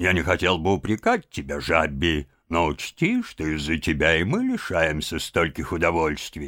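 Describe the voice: A man puts on a character voice at an extremely low pitch with very wide pitch swings and a fairly bright tone. He keeps a moderate pace on a very clean recording with a silent background.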